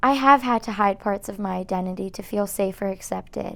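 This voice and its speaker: At a moderate pace, a woman with a fairly high voice speaks in an Iranian accent on a very clean recording with a silent background. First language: Farsi. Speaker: college student interviewee. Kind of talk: documentary interview.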